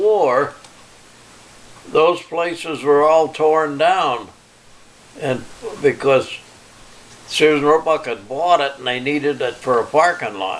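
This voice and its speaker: Pausing long and often at a very slow pace, a man talks with fairly high pitch and ordinary pitch variation over noticeable background noise. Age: 90s. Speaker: retired electrician and farmer. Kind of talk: family oral history interview. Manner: halting.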